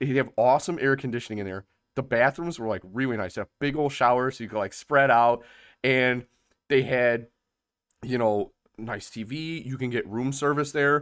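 A man with an American accent and an ordinary speaking voice talks at a moderate pace, medium in pitch with ordinary pitch variation, in a very clean recording with a silent background. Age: 30s. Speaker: podcast host. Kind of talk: casual chat.

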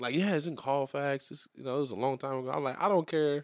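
This man has a south Louisiana accent. He talks at a very fast pace. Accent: south Louisiana US Southern. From Louisiana, New Iberia. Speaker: podcast co-host. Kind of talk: casual chat.

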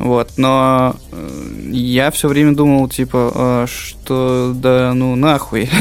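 Over noticeable background noise, a man speaks very slowly at a medium pitch in a flat monotone with very even loudness. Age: 30s. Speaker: podcast co-host. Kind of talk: casual chat.

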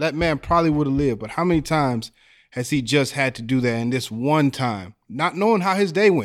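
Here a man with an American accent has an unremarkable speaking voice. He talks at a fairly quick pace on a very clean recording with a silent background. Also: fairly high pitch for a man. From Texas, near the Mexican border. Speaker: musician and former inmate. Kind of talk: panel discussion.

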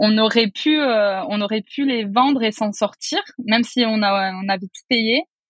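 A woman speaks somewhat breathy at a fairly slow pace, her pitch fairly high and her loudness swinging widely. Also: ordinary pitch variation. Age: 30s. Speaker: architect and property investor. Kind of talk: casual interview.

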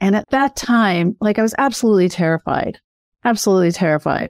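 A woman with an ordinary speaking voice talks at a fairly quick pace and medium pitch with ordinary pitch variation, in a dry, close sound with no echo. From Canada, then Australia from age 16. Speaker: author and mindset coach. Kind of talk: interview. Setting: remote call.

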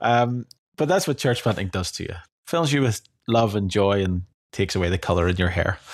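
Talking at a fairly quick pace, a man with an Irish accent uses a fairly low pitch and lively intonation. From Ireland. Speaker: podcast host and rural church planter. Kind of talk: casual podcast chat.

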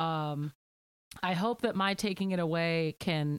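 In a very clean recording with a silent background, a woman with a fairly low pitch speaks at a very slow pace with ordinary pitch variation. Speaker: podcast co-host, freelancer. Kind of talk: casual chat.

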